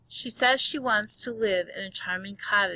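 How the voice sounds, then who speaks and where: A put-on character voice, female-sounding, at a medium pitch and a moderate pace. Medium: read story. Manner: timid.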